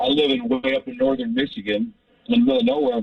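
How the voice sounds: A man talks at a fast pace in an extremely high pitch, with fairly even intonation, vocal fry, and a dry, close sound with no echo.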